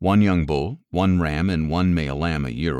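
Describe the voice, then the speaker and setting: This very clean recording with a silent background has a man speaking at a moderate pace in a very deep, low pitch with vocal fry. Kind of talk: audio Bible reading.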